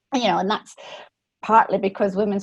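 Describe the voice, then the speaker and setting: With a Scottish accent, the voice comes across somewhat breathy. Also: woman, quiet background. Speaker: economics professor, panelist. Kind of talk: webinar panel discussion.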